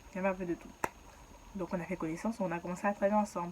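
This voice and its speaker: A woman speaks in an animated tone. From Ivory Coast. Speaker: YouTuber. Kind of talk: storytelling. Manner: casual, animated.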